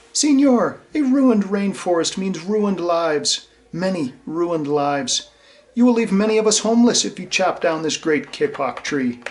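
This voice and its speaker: A squeaky, high-pitched put-on character voice from a man. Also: moderate pace. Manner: pleading, piping up.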